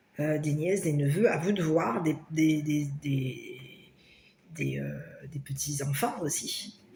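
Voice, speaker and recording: In a room with audible echo and noticeable background noise, a woman with a very deep, low pitch and ordinary pitch variation speaks at a very slow pace with long, frequent pauses. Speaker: tarot card reader. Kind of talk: tarot reading for viewers. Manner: loud; hesitant, many fillers.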